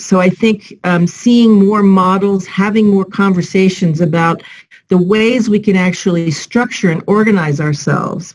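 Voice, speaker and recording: A woman's somewhat breathy voice keeps a fairly even intonation. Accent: American. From United States. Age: 60s. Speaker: civil society professional. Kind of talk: panel discussion.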